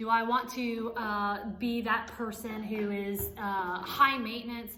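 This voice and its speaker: A woman with a fairly high pitch and fairly even intonation is heard amid audible room echo and noticeable background noise. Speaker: author and life coach. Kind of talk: motivational teaching. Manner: fast.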